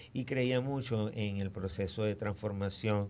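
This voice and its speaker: A man with an unremarkable speaking voice talks fairly slowly at a fairly low pitch, his intonation fairly even. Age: 60s. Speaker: historian. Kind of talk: radio interview.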